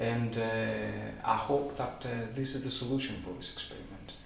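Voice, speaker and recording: The voice moves at a fairly slow pace with audible room echo. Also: man. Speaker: amateur physics enthusiast. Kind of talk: explainer monologue. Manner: halting, many fillers.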